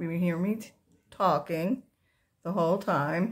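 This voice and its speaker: A woman with a fairly low pitch and a somewhat breathy voice talks at a fairly slow pace. Her pitch variation is ordinary, and the recording is very clean with a silent background. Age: 60s. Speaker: makeup tutorial vlogger. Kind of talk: tutorial. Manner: casual, conversational.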